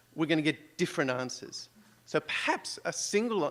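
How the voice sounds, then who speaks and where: With an Australian accent, a man speaks at a fairly high pitch. His intonation is lively. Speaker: conference audience member. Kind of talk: audience question.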